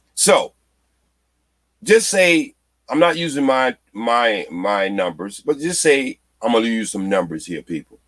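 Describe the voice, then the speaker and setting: A man's animated, medium-pitched voice with very wide pitch swings, a fairly slow pace and long, frequent pauses, in a dry, close sound with no echo. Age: 60s. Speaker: retiree panelist on a livestream. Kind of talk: casual livestream panel chat.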